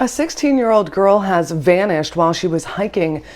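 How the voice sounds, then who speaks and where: Using an unremarkable speaking voice, a woman speaks at a moderate pace with a medium pitch and lively intonation. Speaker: TV news reporter. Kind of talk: TV news report.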